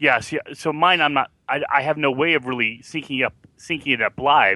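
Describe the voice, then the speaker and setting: A man talks at a fairly quick pace in a fairly high pitch. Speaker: fellow podcaster. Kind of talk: casual chat. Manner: giggles often.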